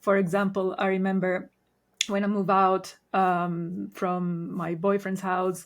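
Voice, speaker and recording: A woman speaks with an Italian accent at a medium pitch, her intonation flat and monotone. The recording is very clean, with a silent background. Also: fairly slow pace. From Italy. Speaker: Reiki master. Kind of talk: podcast interview.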